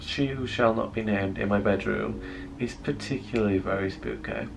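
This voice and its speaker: A soft-spoken man talks at a moderate pace. Noticeable background noise runs underneath. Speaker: vlogger. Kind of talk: casual vlog chat. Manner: drowsy, low hungover murmur from bed. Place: home room. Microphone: phone near.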